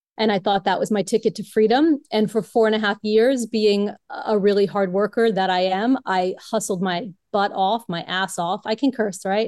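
A woman's normal speaking voice at medium pitch, fairly even in intonation and moderate in pace, with dry, close sound, no echo and a quiet background. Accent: American. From Brooklyn, New York. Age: 50s. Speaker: yoga teacher turned online marketer. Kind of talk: interview.

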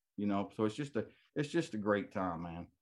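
Against a quiet background, a man with an American accent talks at a moderate pace in a fairly low pitch. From Texas. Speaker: retired military medic, waterfowl conservation group president. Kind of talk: casual interview chat. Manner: animated.

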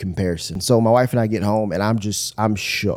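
A man with an American accent and a plain, everyday voice talks at a fairly quick pace and a medium pitch. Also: very clean recording, silent background. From Michigan. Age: 30s. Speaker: pastor. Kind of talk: casual chat.

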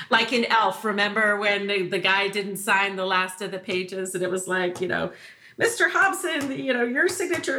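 Over noticeable background noise, a woman with a medium pitch talks at a moderate pace with lively intonation. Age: 50s. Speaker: marketing agency co-founder and podcast co-host. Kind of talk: casual chat.

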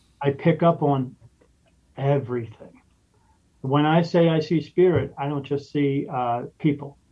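A man's fairly high, somewhat breathy voice, fairly even in intonation, at a fairly slow pace with long, frequent pauses. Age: 50s. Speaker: spirit medium and podcast host. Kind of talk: casual interview.

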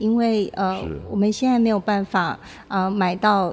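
Using an ordinary speaking voice, a woman with a fairly high pitch talks at a fairly slow pace with fairly even intonation. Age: young. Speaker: arts foundation chairwoman. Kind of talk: interview. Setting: on location, outside the studio.

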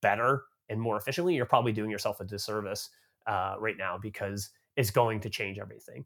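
An ordinary speaking voice: a man at medium pitch with a Canadian accent. He talks at a fairly quick pace with ordinary pitch variation. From Canada. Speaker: tech company marketing executive. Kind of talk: interview.

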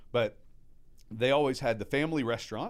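A man talks at a fairly quick pace with an American accent and ordinary pitch variation. The recording is very clean with a silent background. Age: 40s. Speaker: restaurateur. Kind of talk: casual chat. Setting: studio.

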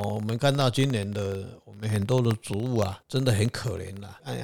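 A man talks at a fairly quick pace with hardly any pauses, in a fairly low, somewhat breathy voice. His pitch variation is ordinary. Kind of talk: casual chat.

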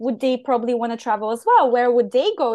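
Someone speaks very fast with a Bulgarian accent. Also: woman. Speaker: online business manager, digital nomad. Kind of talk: interview conversation.

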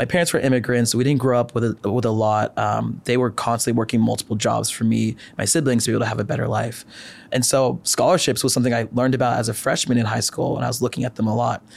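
Speaking at a very fast pace, a man with a medium-pitched voice uses fairly even intonation and shows vocal fry. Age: 20s. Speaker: medical student and health content creator. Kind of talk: interview.

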